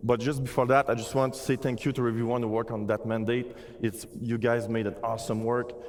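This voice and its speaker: Through noticeable background noise, a man of medium pitch speaks at a very fast pace in a Quebec accent. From Quebec, Montreal. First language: French. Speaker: game art director. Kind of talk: conference presentation.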